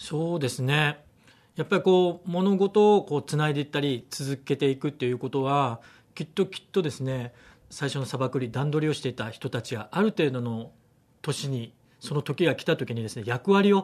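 Over a quiet background, a man with an ordinary speaking voice talks at a fairly quick pace with lively intonation and a fairly high pitch. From Amami Oshima, Kagoshima, Japan. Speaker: radio station director and event organizer. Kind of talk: interview.

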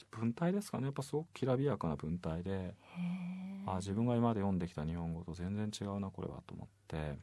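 A man with a normal speaking voice, fairly low in pitch, with lively intonation and a fairly quick pace. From Kitakyushu, Fukuoka. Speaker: novelist, radio host. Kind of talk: casual chat.

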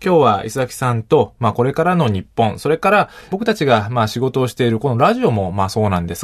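Here is a man with an ordinary speaking voice at a medium pitch. His intonation is lively and his pace fairly quick. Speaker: radio host and sociologist. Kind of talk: radio interview chat. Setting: studio.

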